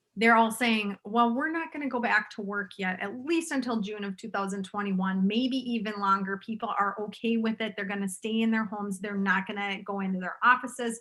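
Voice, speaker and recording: A woman speaks with a strong Minnesotan accent and fairly high pitch. Her pitch variation is ordinary, with hardly any pauses. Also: fairly quick pace. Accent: thick Minnesotan. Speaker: realtor. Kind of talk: interview.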